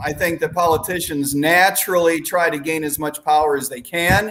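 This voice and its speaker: Male speech at a moderate pace over music in the background. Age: 60s. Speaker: political candidate. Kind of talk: casual chat.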